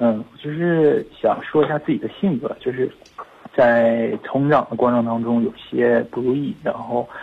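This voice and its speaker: In a plain, everyday voice, a man speaks at a fairly slow pace. His pitch is medium, with ordinary pitch variation. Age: 20s. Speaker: caller. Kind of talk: phone call. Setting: phone call.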